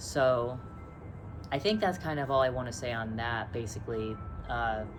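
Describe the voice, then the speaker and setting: A woman speaks at a moderate pace with a very deep, low pitch and ordinary pitch variation. Noticeable background noise and audible room echo are present. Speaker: vlogger sharing detransition experience. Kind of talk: casual personal monologue to camera. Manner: many pauses and ums.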